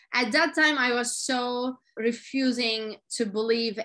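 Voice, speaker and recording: The voice has a bright, sharp tone. It carries a Turkish accent. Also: woman. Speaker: motivational speaker. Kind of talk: interview.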